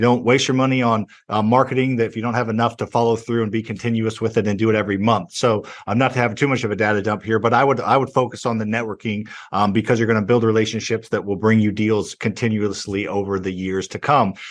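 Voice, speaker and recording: Against a quiet background, a man with an American accent speaks at a very fast pace in a monotone, flat intonation with a medium pitch. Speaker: real estate investor. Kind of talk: casual interview.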